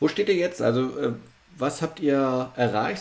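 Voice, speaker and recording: A man at medium pitch and moderate pace, ordinary pitch variation, with noticeable background noise. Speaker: podcast host. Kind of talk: interview. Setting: video call.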